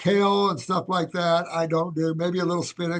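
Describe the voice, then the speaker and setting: A man with an American accent talks in a flat monotone at a high pitch. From USA. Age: 70s. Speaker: naturopathic doctor. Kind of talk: interview. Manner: halting.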